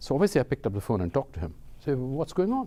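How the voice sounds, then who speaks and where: A man's dark, mellow tone with vocal fry, at a fairly quick pace. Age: 60s. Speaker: professor. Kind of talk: lecture.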